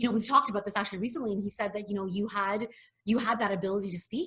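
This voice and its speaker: A woman with a Canadian accent speaks in a bright, sharp tone with ordinary pitch variation. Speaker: hotel executive. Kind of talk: interview. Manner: fast.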